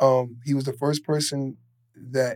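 Speaking with a New York accent, a man has a medium pitch. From New York City (Queens). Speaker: fashion retail worker and clothing line owner. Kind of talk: casual chat.

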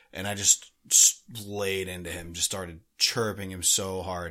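On a very clean recording with a silent background, a man speaks at a fairly slow pace. His voice is fairly low in pitch, with a bright, sharp tone. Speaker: hockey podcast co-host. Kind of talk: casual chat.

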